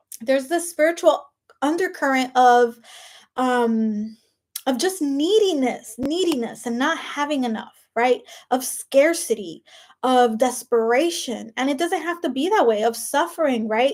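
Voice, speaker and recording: The speaker uses a Spanish accent and lively intonation at a fairly slow pace. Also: woman, high pitch for a woman. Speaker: life coach. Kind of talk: motivational talk to camera. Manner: animated.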